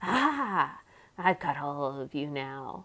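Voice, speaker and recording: A woman uses a put-on character voice. Her pitch is very deep and low. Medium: read story. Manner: loud, blustery.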